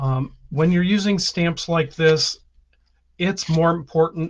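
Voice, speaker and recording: A somewhat breathy man speaks at a very slow pace. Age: 60s. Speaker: stamping and card-making teacher. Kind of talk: tutorial; live stream. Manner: casual, with many filler ums.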